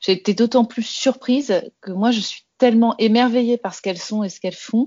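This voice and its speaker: A woman speaks at a fairly slow pace. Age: 40s. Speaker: health start-up founder. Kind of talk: interview. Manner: hesitant, many fillers.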